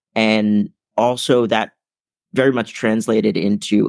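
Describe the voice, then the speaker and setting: Fairly low in pitch, this man has an ordinary speaking voice with fairly even intonation. The recording is very clean, with a silent background. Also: dry, close sound with no echo. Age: 20s. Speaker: motivational keynote speaker. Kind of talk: interview.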